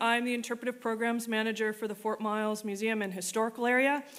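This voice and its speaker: Loud and bright with a sharp tone, a woman speaks at a fairly quick pace in a fairly high pitch. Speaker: museum programs manager, keynote speaker. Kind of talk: keynote talk. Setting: stage with audience. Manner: animated.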